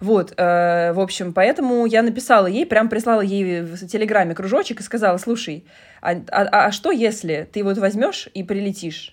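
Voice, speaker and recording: A woman's medium-pitched, a plain, everyday voice at a moderate pace, with ordinary pitch variation. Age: 30s. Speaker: podcast host. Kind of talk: casual chat.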